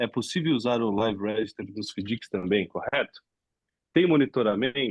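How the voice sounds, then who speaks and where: Using a plain, everyday voice, a man speaks at a moderate pace in a medium pitch with ordinary pitch variation. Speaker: webinar host. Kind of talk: webinar Q&A. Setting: live webinar.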